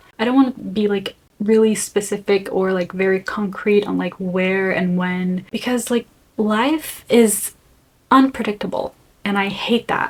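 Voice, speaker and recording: Somewhat breathy and fairly slow, a woman speaks at a medium pitch with fairly even intonation. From Brazil. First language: Brazilian Portuguese. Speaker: vlogger. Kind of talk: casual vlog talk.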